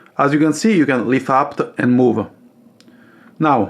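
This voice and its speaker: A man speaks with an Italian accent. His pitch is fairly high. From Italy. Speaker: coffee machine hobbyist YouTuber. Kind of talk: tutorial. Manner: hesitant, many fillers.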